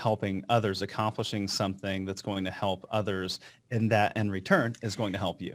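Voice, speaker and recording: In an ordinary speaking voice, a man talks at a fairly quick pace with fairly even intonation on a very clean recording with a silent background. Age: young. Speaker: financial planner and podcast host. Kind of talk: podcast interview.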